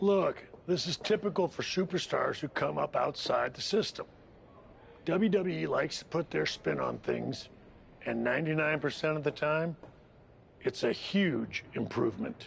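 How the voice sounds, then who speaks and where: A man puts on a raspy character voice with a fairly high pitch and an upbeat tone, speaking at a moderate pace. Clear background noise runs underneath. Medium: video game. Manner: persuasive, upbeat.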